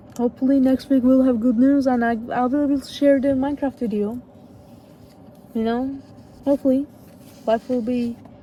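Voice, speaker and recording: Against noticeable background noise, a woman speaks at a moderate pace in a high pitch, her intonation monotone and flat, with long, frequent pauses. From Turkey. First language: Turkish. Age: 20s. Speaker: youtuber. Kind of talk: casual vlog talk. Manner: halting.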